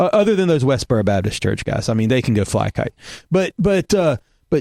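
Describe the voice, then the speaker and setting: A man with a Southern US accent at medium pitch, fairly quick pace, very wide pitch swings, very even loudness and a dry, close sound with no echo. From US South. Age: middle-aged. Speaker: podcast host, former pastor. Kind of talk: casual chat.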